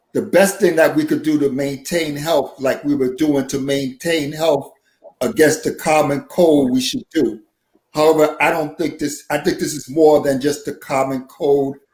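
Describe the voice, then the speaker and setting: A man speaks at a moderate pace with fairly even intonation. His voice is fairly high and somewhat breathy. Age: 60s. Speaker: nurse and poet. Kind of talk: casual chat.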